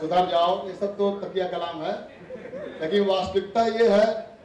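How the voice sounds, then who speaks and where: Through audible room echo and noticeable background noise, a man speaks in a high voice with fairly even intonation. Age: 50s. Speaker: school PE teacher. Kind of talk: farewell speech. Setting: banquet hall with audience.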